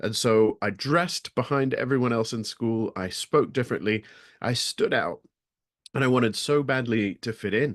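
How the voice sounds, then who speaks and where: This man speaks in an American accent. The sound is dry and close with no echo, over a quiet background. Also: medium pitch for a man, ordinary pitch variation, moderate pace. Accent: American, learned over natural British. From England and US (Las Vegas, Nevada). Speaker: speaker on resilience. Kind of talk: webinar talk.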